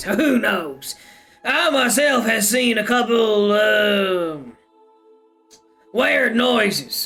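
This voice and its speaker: The voice is a put-on character voice, fairly high in pitch, gruff and strained. Faint music plays in the background. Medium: virtual streamer. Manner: gossipy, conspiratorial.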